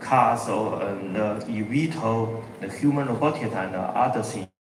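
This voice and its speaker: Noticeable background noise and audible room echo surround this recording. A man speaks at a fairly slow pace in a medium pitch with ordinary pitch variation. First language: Chinese. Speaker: company executive. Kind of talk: keynote presentation. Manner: halting.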